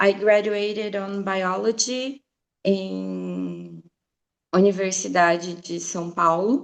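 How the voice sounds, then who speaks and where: The speaker is a woman with a Brazilian Portuguese accent. She talks at a very slow pace. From Brazil, Mato Grosso do Sul. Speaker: science teacher. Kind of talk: presentation at online teacher training. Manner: hesitant, many fillers.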